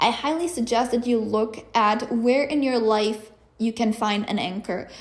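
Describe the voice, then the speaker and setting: A woman speaks with a Czech accent at a fairly slow pace, her pitch high. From Czech Republic. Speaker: podcast host and life coach. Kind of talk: podcast monologue.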